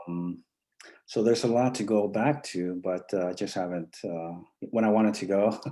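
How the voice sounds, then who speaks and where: Speaking at a moderate pace, a man uses a fairly low pitch with a dark, mellow tone and ordinary pitch variation. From Mexico, Tamaulipas border region. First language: Spanish. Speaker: poet. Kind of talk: interview. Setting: live online stream. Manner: halting, many fillers.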